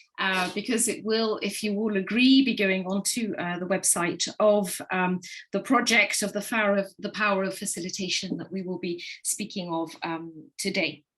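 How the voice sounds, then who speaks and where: A woman with an English accent, medium pitch, at a moderate pace. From England. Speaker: facilitator. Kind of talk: online panel moderation. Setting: video call.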